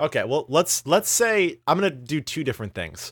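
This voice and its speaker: A man is speaking. The sound is dry and close with no echo, in a very clean recording with a silent background. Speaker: YouTuber and animator, podcast co-host. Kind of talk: casual chat. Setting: voice call. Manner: joking, halting with filler words.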